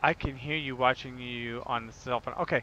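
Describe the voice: A man with an American accent talks at a slow pace, his intonation fairly even.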